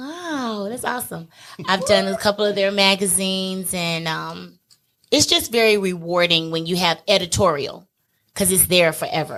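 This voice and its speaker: A woman's plain, everyday voice at medium pitch, with a moderate pace and ordinary pitch variation. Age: 40s. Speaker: makeup artist. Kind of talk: casual chat.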